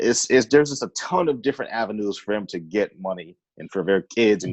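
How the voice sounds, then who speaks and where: A man with an American accent and a plain, everyday voice talks at a fairly quick pace in a fairly low pitch, with ordinary pitch variation, a dry, close sound with no echo and a quiet background. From Northern California. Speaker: podcast host. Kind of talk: casual chat.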